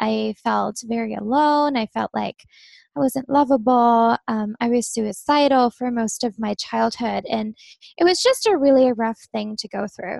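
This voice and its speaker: Against a quiet background, a woman with an American accent talks at a fairly slow pace in an unremarkable speaking voice, her pitch fairly high. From Germany, American family. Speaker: success coach and energy healer. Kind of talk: personal testimony in interview.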